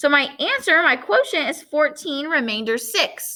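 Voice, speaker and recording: Raising and projecting her voice, a woman speaks at a fairly slow pace. Her tone is high, bright and sharp. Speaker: math teacher. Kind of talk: tutorial. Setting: recorded alone, no audience.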